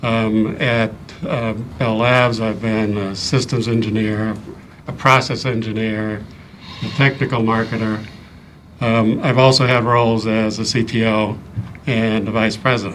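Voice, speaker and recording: Speaking in a flat monotone at a medium pitch, a man with a slight Midwestern accent is heard with audible room echo. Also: fairly slow pace. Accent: slight Midwest. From US Midwest, Ohio. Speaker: engineer and board candidate. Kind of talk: interview. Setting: town board meeting. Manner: hesitant with frequent ums.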